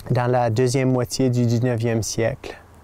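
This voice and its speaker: Background noise is noticeable here. A man's voice sits at a medium pitch. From northern Maine, Saint John Valley (Fort Kent area). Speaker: French teacher. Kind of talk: personal testimony. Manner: halting, with many hesitations.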